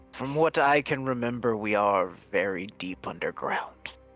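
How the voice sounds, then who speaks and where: A man's put-on character voice at a medium pitch, with faint music in the background. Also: moderate pace. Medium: actual play. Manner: imperious, slow, condescending.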